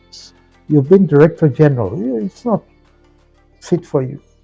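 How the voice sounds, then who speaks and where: Music plays behind a man with a fairly high pitch that swings very widely. He speaks at a fairly quick pace, and the sound is dry and close, with no echo. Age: 80s+. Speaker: former broadcaster and company executive. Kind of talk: interview answer.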